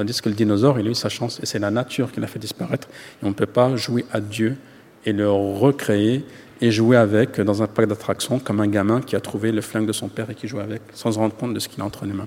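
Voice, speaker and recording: At a very fast pace, a man speaks in a fairly low pitch with fairly even intonation. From France, Yvelines housing estate. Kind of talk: interview.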